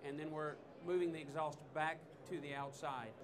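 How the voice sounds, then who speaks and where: Over noticeable background noise and audible room echo, a man talks with an American accent. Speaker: technical trainer. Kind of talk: product demonstration talk. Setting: trade show stage with audience.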